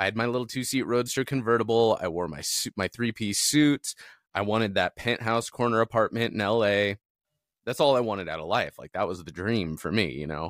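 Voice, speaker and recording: Here a man speaks at a fairly quick pace in an ordinary speaking voice, fairly low in pitch with ordinary pitch variation. The sound is dry and close with no echo, on a very clean recording with a silent background. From US West Coast (Southern California suburbs). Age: 40s. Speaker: content creator and marketing business owner. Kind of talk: casual interview chat.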